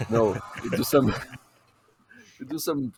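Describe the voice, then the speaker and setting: Heard in a dry, close sound with no echo, a man with a Brazilian accent speaks with ordinary pitch variation. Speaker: podcast co-host. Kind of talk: casual chat.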